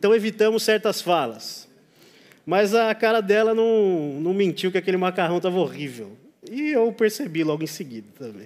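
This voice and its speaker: A man with a high pitch and lively intonation is heard on a very clean recording with a silent background. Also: moderate pace. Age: 30s. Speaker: pastor. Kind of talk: sermon.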